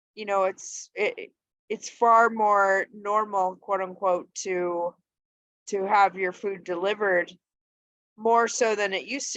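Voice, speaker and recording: An unremarkable speaking voice moves at a fairly slow pace with fairly even intonation. The sound is dry and close, without echo. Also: woman. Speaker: teacher. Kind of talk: lecture.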